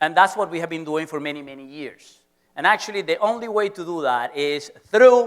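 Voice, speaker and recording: Speaking with a Venezuelan accent, a man keeps a moderate pace and an animated tone. His pitch shows ordinary variation. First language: Spanish. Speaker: professor. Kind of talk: lecture.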